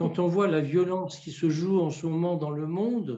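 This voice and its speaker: Speaking fairly slowly, a man with a high pitch and a dark, mellow tone is heard with audible room echo. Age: 60s. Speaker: family constellation therapist and trainer. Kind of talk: interview. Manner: hesitant, many repetitions.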